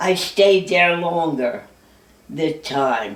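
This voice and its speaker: In a room with audible echo, a woman with a fairly low pitch speaks at a very slow pace. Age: 80s+. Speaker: centenarian telling her life story. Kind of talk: memoir, reading from her own notes.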